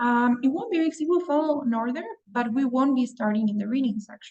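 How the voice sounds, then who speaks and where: With a Spanish accent, a woman speaks at a high pitch. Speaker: English test prep teacher. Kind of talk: online class. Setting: video call.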